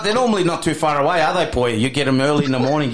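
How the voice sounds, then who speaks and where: A man's pitch swings very widely as noticeable background noise runs beneath him. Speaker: radio co-host. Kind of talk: community radio patter, casual studio banter and interview. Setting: studio. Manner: chatty, warm, upbeat and conversational, echoing and agreeing in quick bursts.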